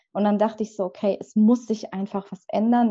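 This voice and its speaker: A woman's somewhat breathy voice at medium pitch, dark and mellow in tone, fairly even in intonation, at a moderate pace over a quiet background. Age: 20s. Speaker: book designer and author. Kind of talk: casual interview.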